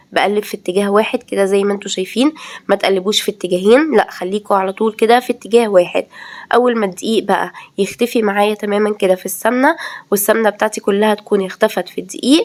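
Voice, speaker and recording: A woman talks at a fairly quick pace and medium pitch, with noticeable background noise behind her. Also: ordinary pitch variation. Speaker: cooking video creator. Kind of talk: cooking tutorial.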